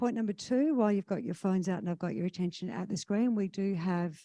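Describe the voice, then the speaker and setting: With an Australian accent, a woman speaks in a dark, mellow tone with ordinary pitch variation, the sound dry and close with no echo. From Western Australia, Kalgoorlie. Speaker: conference MC. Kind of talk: conference emcee announcements. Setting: stage with audience.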